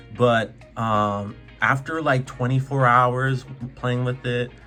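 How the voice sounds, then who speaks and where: Over music in the background, a man talks at a medium pitch with ordinary pitch variation. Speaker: gaming YouTuber. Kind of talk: casual talk to camera.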